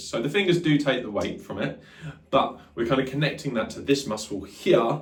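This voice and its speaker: Vocal fry runs through this fairly quick delivery, with very wide pitch swings and audible room echo. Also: man. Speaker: guitar teacher. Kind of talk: tutorial. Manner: fast; casual, filler-heavy.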